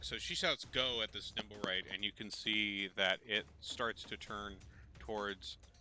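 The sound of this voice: The clip features an unforced reading voice. It carries through the whole recording.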